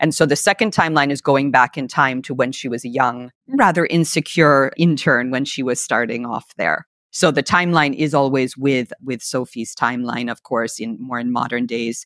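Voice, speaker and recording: A woman with an American accent and very deep, low pitch talks at a moderate pace with hardly any pauses, in a very clean recording with a silent background and a dry, close sound with no echo. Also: ordinary pitch variation. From United States. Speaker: author. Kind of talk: casual interview.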